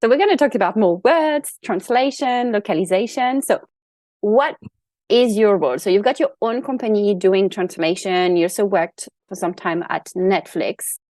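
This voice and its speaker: At a moderate pace, the speaker uses lively intonation with a French accent, and the sound is dry and close with no echo over a quiet background. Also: woman, medium pitch for a woman. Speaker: podcast host. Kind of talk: podcast interview.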